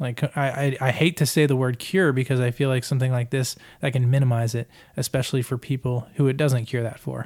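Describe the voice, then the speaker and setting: On a very clean recording with a silent background and a dry, close sound with no echo, a man speaks in a plain, everyday voice at medium pitch, at a fairly quick pace, with ordinary pitch variation. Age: 30s. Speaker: podcast host and producer. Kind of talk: casual chat.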